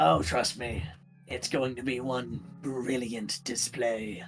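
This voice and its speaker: Over clear background noise, a man does a raspy, put-on character voice at medium pitch and a fairly slow pace. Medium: actual play. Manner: casual, wry bravado.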